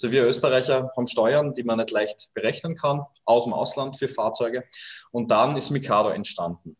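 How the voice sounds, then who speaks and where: Medium pitch, moderate pace and ordinary pitch variation from a man, a plain, everyday voice. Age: 30s. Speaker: startup founder. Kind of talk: interview. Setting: video call from home kitchen.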